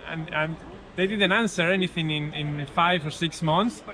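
A man talks with a Spanish accent. Noticeable background noise sits behind him. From Spain. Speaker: cycling route designer. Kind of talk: interview. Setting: outdoors. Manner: halting, repeats words. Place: cafe.

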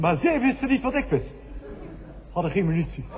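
This man's intonation is lively and his tempo moderate, with noticeable noise in the background. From Netherlands. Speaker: cabaret performer. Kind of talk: New Year's Eve cabaret monologue.

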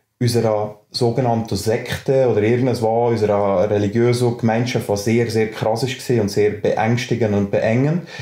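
A man in a Swiss accent speaks at a medium pitch and a moderate pace with hardly any pauses. His intonation is monotone and flat, and his loudness stays very even. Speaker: teacher and freethinker association vice-president. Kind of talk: podcast interview answer.

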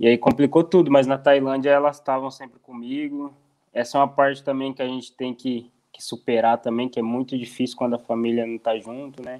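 Over a quiet background, a man talks fairly quickly with monotone, flat intonation and big swings in loudness. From Brazil, interior of Paraná. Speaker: professional footballer. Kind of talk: interview. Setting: video call. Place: home room. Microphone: earbuds.

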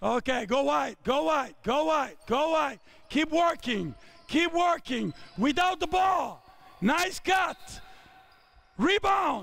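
Lively intonation at a very slow pace, broken by long, frequent pauses. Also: man, extremely high pitch for a man. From Italy. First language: Italian. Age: 50s. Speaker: basketball coach. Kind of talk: coaching clinic. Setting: basketball court with players. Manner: shouted on-court commands. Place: hall.

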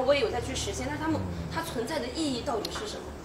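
Over noticeable background noise, a woman talks at a very fast pace in a high pitch. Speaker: event host. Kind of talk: live-stream hosting. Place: studio.

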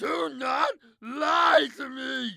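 A put-on character voice shouts at a very slow pace in a bright, sharp tone. Vocal fry comes through, and the pitch varies in an ordinary way.

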